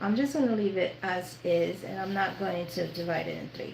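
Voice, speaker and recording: A woman with an American accent at a fairly slow pace, with ordinary pitch variation, audible room echo and noticeable background noise. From New York. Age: 50s. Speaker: sewing youtuber. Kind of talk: live sewing tutorial with casual chat. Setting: livestream.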